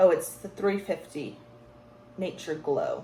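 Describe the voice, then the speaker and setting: Amid noticeable background noise, a woman talks at a fairly slow pace and a fairly low pitch. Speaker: beauty vlogger. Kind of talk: makeup tutorial chat. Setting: home, wearing earphones. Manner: animated.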